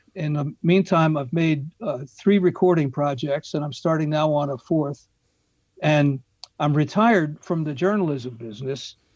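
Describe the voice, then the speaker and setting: His voice is fairly high in pitch and somewhat breathy. The man speaks with ordinary pitch variation. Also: moderate pace. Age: 70s. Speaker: retired journalist and songwriter. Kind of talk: casual chat. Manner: halting.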